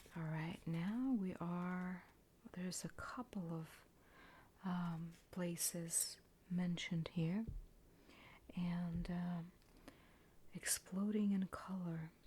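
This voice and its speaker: Soft-spoken and gentle in tone, the voice moves at a very slow pace with long, frequent pauses. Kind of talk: ASMR book flip, relaxation narration. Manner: soft-spoken, gentle.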